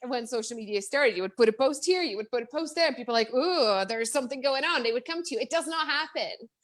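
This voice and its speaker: This woman has a high pitch, an animated tone and lively intonation. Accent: Czech. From Czech Republic. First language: Czech. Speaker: business coach. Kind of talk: interview. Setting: Facebook live stream. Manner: fast, animated.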